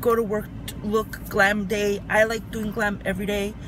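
At a fairly slow pace, a woman speaks in a dry sound with no echo, with noticeable background noise. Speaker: beauty vlogger. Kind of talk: tutorial. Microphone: phone near.

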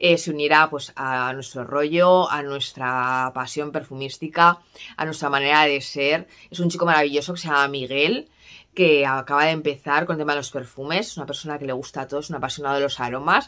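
Bright and sharp in tone, a woman's very deep, low voice carries fairly even intonation. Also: fairly quick pace, quiet background. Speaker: perfume vlogger. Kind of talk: casual vlog chat. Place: home room. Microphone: phone near.

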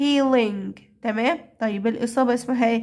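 A high-pitched woman's voice in an Egyptian accent, with ordinary pitch variation. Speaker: English teacher for primary pupils. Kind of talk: lesson tutorial. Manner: repetitive drilling of words.

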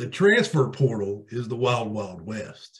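A man's somewhat breathy voice with ordinary pitch variation, against a quiet background. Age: 40s. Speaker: podcast co-host, sports talk. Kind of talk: casual chat. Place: home room. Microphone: video call.

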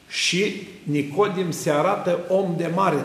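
His voice carries audible room echo. The speaker is a man. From Romania. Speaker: Orthodox priest. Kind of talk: sermon. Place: church.

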